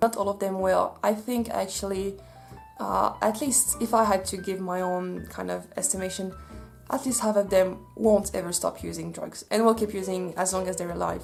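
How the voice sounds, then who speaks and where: Music is playing behind the speaker. A woman talks at a moderate pace. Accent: Swiss French. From French-speaking Switzerland. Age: 20s. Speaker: social worker. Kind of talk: casual talk to camera.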